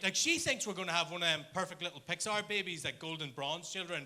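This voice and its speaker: Speaking in an Irish accent, a man talks very fast in a high-pitched, raised and projected voice. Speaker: comedian. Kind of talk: stand-up. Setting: stage with audience.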